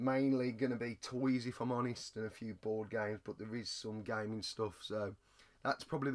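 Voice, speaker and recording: With an English accent, the speaker moves at a fairly quick pace and uses fairly even intonation. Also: man. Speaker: retro gaming and toy reseller YouTuber. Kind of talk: casual vlog.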